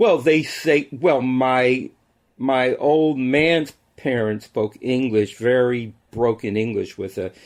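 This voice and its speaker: A man in an American accent at a very slow pace, over a quiet background. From New York and Newark, New Jersey. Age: 70s. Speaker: music biographer. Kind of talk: interview conversation. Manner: halting, repetitive starts.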